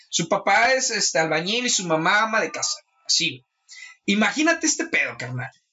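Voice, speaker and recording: A man with a high voice, speaking at a fairly quick pace. His pitch swings very widely. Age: 20s. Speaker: hip hop event organizer and interviewer. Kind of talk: casual chat.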